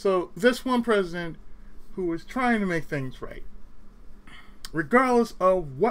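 A man with an American accent talks at a fairly slow pace. His intonation is lively. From California. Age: 30s. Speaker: gaming YouTuber. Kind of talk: solo commentary rant. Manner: animated.

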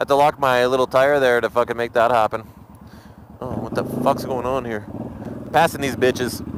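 Through noticeable background noise and a dry sound with no echo, a man talks in an animated tone at a fairly quick pace, with long, frequent pauses. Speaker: motovlogger. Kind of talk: angry rant, profane and venting, about being cut off by drivers. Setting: outdoors, recording a vlog while riding or stopped. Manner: loud, agitated, fast, swearing heavily; casual, rambling, animated. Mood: relaxed, joking, profane. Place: motorbike. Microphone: helmet.

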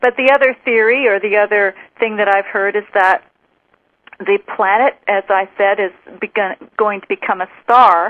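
A woman's medium-pitched, normal speaking voice at a moderate pace, with fairly even intonation and big swings in loudness. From Western Canada, Vancouver Island. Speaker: spiritual teacher. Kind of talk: interview.

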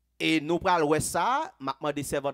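With a quiet background behind him, a man speaks at a fairly high pitch. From Haiti. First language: Haitian Creole (speaking French). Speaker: pastor. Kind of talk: sermon. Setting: church. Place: church. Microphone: headset.

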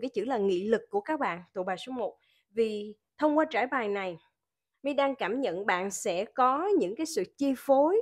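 Against a quiet background, a woman with a fairly high pitch talks at a moderate pace, her pitch swinging very widely. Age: 40s. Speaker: tarot reader. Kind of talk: tarot reading.

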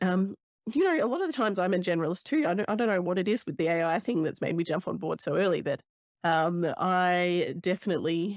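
Speaking at a very fast pace with ordinary pitch variation, a woman is heard in a dry sound with no echo over a quiet background. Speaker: podcast host. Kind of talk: casual podcast chat. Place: home room. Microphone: studio mic.

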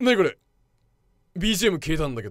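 The background is quiet while this man talks. There is no echo, so the sound comes across dry. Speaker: VTuber streamer. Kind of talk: casual talk to camera.

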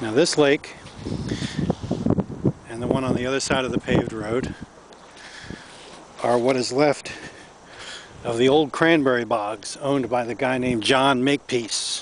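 A man talks at a moderate pace with fairly even intonation and long, frequent pauses, the sound dry with no echo and light background noise. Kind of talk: casual nature walk commentary. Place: waterside. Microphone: phone near.

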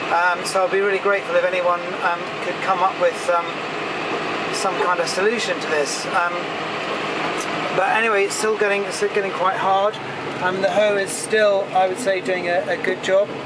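The speech moves at a moderate pace with long, frequent pauses over loud background noise. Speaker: farmer driving the tractor. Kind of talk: casual commentary while working. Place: farm machine.

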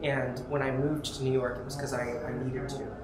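Loud background noise behind a man speaking. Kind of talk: interview answer. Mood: earnest, reflective. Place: hall. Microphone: lapel.

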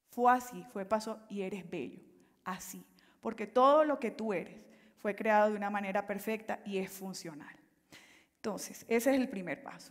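Against a quiet background, a woman speaks at a medium pitch and moderate pace, with ordinary pitch variation and big swings in loudness. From Colombia, Caribbean coast (Valledupar); Colombia. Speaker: life coach and consultant; life coach. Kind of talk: motivational talk. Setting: stage with audience. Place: stage.

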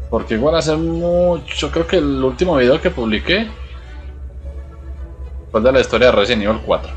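With faint music in the background, a man of medium pitch speaks at a moderate pace, his voice swinging very widely in pitch between long, frequent pauses. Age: 20s. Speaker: streamer, psychology student. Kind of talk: casual live-stream gameplay commentary.

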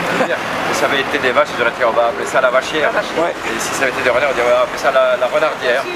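Over loud background noise, a man talks at a very fast pace with hardly any pauses. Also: medium pitch for a man, ordinary pitch variation. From Belgium, La Louvière (Hainaut); Belgium. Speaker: comedian. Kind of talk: casual interview during a town walk.

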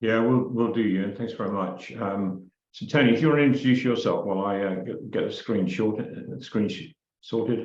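Room echo is audible as a man speaks at a moderate pace. His pitch is medium, with ordinary variation. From England. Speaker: community trust chair. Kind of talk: presentation.

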